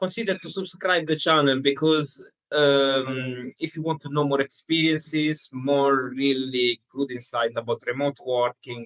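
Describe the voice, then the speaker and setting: This man has a non-native accent and a fairly high pitch. He talks at a fairly slow pace with hardly any pauses and fairly even intonation. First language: not English. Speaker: podcast co-host, remote worker. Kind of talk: casual chat. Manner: halting.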